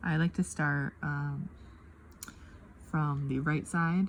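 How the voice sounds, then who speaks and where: This woman talks at a fairly slow pace. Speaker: craft video creator. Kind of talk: casual craft tutorial chat. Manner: hesitant, many fillers.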